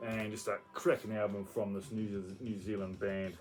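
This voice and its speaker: There is noticeable background noise behind a man speaking with an Australian accent. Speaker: metal album reviewer. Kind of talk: casual video monologue. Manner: fast; hesitant, many fillers.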